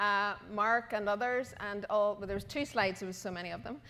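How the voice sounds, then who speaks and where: On a very clean recording with a silent background, a woman with an Irish accent speaks at a fairly quick pace, her intonation fairly even. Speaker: conference co-chair. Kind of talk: closing remarks.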